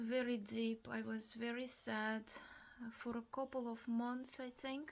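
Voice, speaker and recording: Speaking in a Russian accent, a woman talks very slowly in a flat, monotone way at a fairly high pitch. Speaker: vlogger. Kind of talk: personal testimony. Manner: halting.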